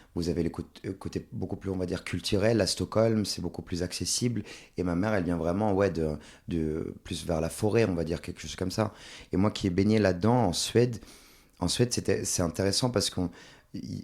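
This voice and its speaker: A man with a very deep, low pitch, ordinary pitch variation and a fairly quick pace on a very clean recording with a silent background. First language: Swedish (speaking French). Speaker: stage actor. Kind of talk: podcast interview.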